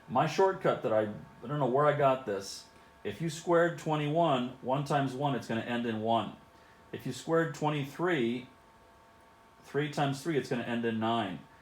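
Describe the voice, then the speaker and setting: A man speaks at a medium pitch. The room gives his voice an audible echo. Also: ordinary pitch variation, moderate pace. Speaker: math teacher. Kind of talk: video lesson for students. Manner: casual, conversational.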